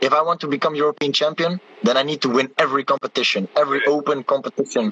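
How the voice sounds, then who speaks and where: A man with a fairly high voice talks at a very fast pace. The sound is dry and close with no echo, though background noise is noticeable. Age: 20s. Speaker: taekwondo athlete. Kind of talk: interview. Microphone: poor connection.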